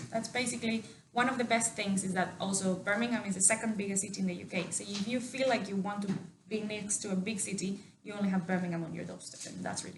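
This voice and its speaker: A woman with a Mexican accent speaks at a very fast pace and a medium pitch, with fairly even intonation and big swings in loudness, amid noticeable background noise and audible room echo. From Mexico. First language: Spanish. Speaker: university staff member. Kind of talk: interview.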